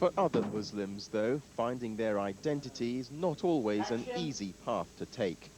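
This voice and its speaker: Over noticeable background noise, a man at medium pitch talks at a moderate pace with lively intonation and hardly any pauses. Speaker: TV news reporter. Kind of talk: TV news report narration.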